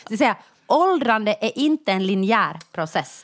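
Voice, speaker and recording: A woman is speaking. Her pitch swings very widely. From Finland, Jakobstad (Ostrobothnia). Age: 40s. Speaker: podcast co-host. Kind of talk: casual chat.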